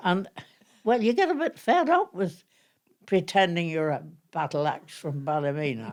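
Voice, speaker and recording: With a Northern Irish accent, a woman of fairly low pitch talks at a moderate pace with lively intonation and long, frequent pauses. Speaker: amateur actress. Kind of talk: reminiscing interview. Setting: at home.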